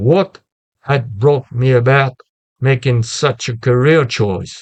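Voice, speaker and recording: Very slow in pace, a man speaks in a somewhat breathy voice at a medium pitch. His pitch varies in an ordinary way. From France. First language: French. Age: 70s. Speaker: retired philosophy teacher. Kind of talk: lecture. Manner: halting; formal.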